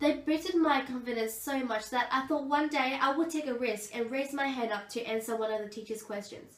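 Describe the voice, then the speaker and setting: Against audible room echo, a woman talks at a fairly quick pace in a high pitch with ordinary pitch variation. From Australia (Gold Coast). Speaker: aspiring teacher. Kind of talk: presentation speech.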